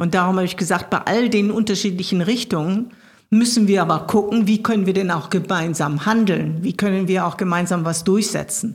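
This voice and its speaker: Somewhat breathy at a medium pitch, a woman talks at a fairly quick pace with fairly even intonation. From Ruhr area, Germany (Gelsenkirchen). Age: 60s. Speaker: state politician. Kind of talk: interview.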